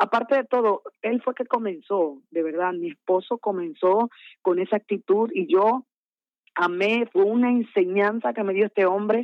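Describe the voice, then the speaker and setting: With a Dominican accent, a woman speaks at a moderate pace with ordinary pitch variation. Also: medium pitch for a woman. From Dominican Republic, Santo Domingo. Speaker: gospel singer. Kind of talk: interview. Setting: phone call.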